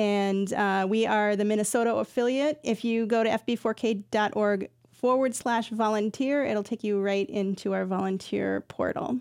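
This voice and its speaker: In a very clean recording with a silent background, a woman talks at a moderate pace with hardly any pauses. She has an unremarkable speaking voice, fairly high in pitch, with very even loudness and fairly even intonation. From Iowa, US Midwest. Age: 40s. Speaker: nonprofit executive director. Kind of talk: radio interview.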